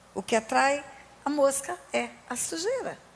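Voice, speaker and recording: A woman speaks over noticeable background noise. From Brazil, Resende (Rio de Janeiro state). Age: 60s. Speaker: pastor. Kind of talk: sermon.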